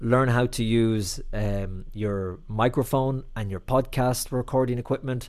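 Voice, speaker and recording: Fairly slow speech with fairly even intonation in an Irish accent. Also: man. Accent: Irish (Clare). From Ireland, County Clare. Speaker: TV and radio reporter. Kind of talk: interview. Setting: video call.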